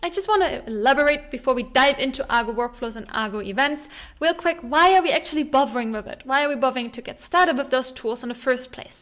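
A woman with a high pitch talks at a very fast pace. Her intonation is lively, and the background is quiet. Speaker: tech educator. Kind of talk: casual tutorial vlog talk. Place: home room. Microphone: studio mic.

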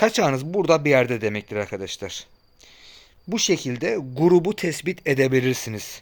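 A man at a moderate pace with very wide pitch swings, on a very clean recording over a silent background. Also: fairly high pitch for a man. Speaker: car repair YouTuber. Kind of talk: tutorial. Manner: casual, conversational.

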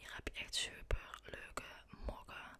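Very slowly, a woman is whispering. Behind her there is noticeable background noise. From Netherlands. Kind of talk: ASMR shopping voice-over. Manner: whispered.

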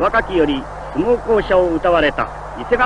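A man's lively intonation and moderate pace come through noticeable background noise. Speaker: radio sports announcer. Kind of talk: live sumo bout commentary. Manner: grand, dramatic.

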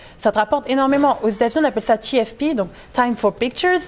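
Very fast, high-pitched speech from a woman, its pitch varying in an ordinary way. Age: 20s. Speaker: plus-size model and motivational speaker; interviewee. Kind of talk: casual interview. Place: studio. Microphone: lapel.

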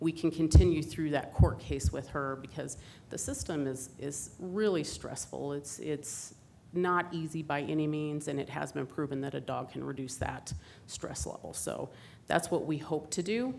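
Heard with audible room echo, a woman with a very deep, low pitch speaks at a moderate pace in a dark, mellow tone, with ordinary pitch variation and vocal fry. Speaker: police victim advocate. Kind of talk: staff presentation to council. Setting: council chambers.

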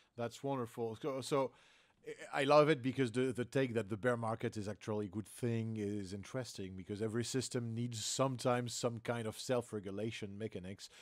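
A man speaks at a fairly quick pace with fairly even intonation. The background is quiet. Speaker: podcast host. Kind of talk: interview. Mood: upbeat, friendly. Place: home room.

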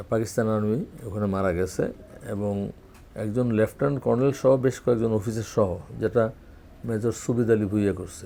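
A man's fairly low-pitched voice with a dark, mellow tone. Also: fairly even intonation. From Bangladesh, Mymensingh; Bangladesh. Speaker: war veteran and doctor. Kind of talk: oral history interview; interview answer. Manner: halting. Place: office. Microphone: lapel.

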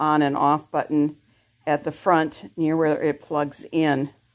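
Her pitch is very deep and low. Nothing stirs in the quiet background. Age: 70s. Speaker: product reviewer. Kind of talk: product review demo. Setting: at home, on camera. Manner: casual, hesitant. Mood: relaxed, pleased. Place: home room. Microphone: phone near.

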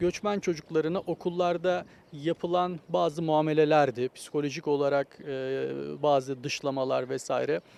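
A man's dark, mellow voice, fairly high in pitch, at a moderate pace with fairly even intonation. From Osmaniye, Turkey. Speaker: economics professor. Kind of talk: interview, casual chat.

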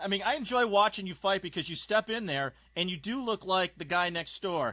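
A man talks at a very fast pace in a bright, sharp tone with a high pitch and ordinary pitch variation. The sound is dry and close with no echo, over a quiet background. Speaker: sports interviewer. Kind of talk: interview. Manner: casual.

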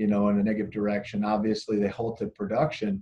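A man is talking. The tone of his voice is dark and mellow. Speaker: guest. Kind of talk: interview answer. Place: office. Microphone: video call.

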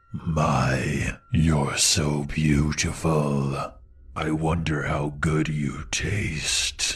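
This is a put-on character voice with a raspy sound. It goes at a very slow pace. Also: man, very deep, low pitch for a man. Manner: creepy, hungry.

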